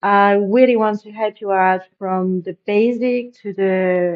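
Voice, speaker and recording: A woman speaks with a French accent. Her intonation stays fairly even. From France. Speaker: e-commerce web designer and tutorial creator. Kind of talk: tutorial. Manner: casual, with frequent fillers and restarts.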